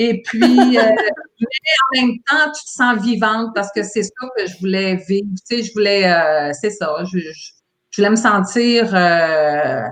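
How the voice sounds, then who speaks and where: A woman's medium pitch in lively intonation, at a very slow pace with long, frequent pauses. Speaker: former cruise ship employee. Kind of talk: casual interview chat. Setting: livestream video call. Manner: hesitant with many fillers.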